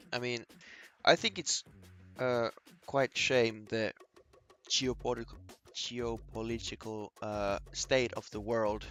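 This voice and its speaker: With a slight Finnish accent, the speaker goes at a very slow pace with long, frequent pauses while music plays in the background. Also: man, medium pitch for a man, fairly even intonation. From northern Finland, near Russian border. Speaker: day trader streamer. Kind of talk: live stream chat. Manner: halting.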